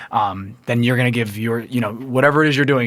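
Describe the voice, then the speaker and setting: A man with an American accent speaks at a very fast pace. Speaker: entrepreneur and golf organization development director. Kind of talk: podcast interview. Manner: animated.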